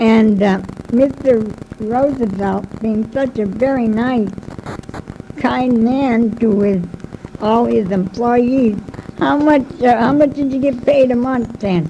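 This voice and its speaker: Against noticeable background noise, a woman with a fairly high pitch speaks at a very slow pace. Long, frequent pauses break up her ordinary pitch variation. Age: 70s. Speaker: local historian. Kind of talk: talk to an audience, interviewing a guest. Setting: public talk with loudspeaker.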